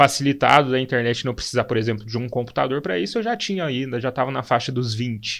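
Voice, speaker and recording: Over a quiet background, a man speaks in a normal speaking voice at a medium pitch with ordinary pitch variation. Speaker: philosophy teacher. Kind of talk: casual educational chat.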